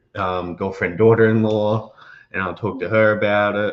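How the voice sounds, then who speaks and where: A man with an Australian accent and monotone, flat intonation. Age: young. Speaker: host's son. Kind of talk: personal testimony.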